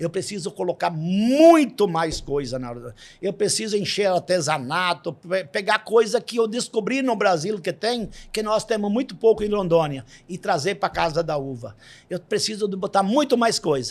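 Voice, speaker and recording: This man has a high voice. He speaks at a fairly slow pace. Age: 60s. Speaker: farmer and rural business owner. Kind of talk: interview. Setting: studio.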